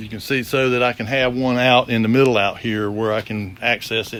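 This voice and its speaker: Monotone, flat intonation at a fairly quick pace, with noticeable background noise. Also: man. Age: 60s. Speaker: shop owner and former industrial electrician. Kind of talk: casual video walkthrough. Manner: halting, many fillers and repeats.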